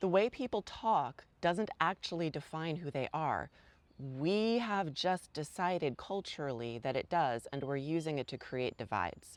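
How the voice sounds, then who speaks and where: A fairly slow voice with lively intonation and an American accent, recorded dry and close with no echo. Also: woman, very deep, low pitch for a woman. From New York. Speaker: activist vlogger. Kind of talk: opinion monologue.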